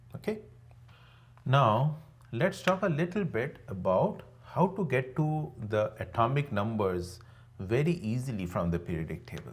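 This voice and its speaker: This man speaks at a medium pitch with very wide pitch swings, a somewhat breathy sound and audible room echo. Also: fairly slow pace. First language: not English. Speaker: online teacher. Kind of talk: lecture. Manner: conversational, with frequent fillers.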